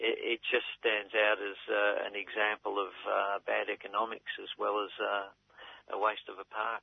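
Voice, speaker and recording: A man talks at a very slow pace. He has an Australian accent. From Melbourne, Australia. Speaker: community activist. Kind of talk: interview.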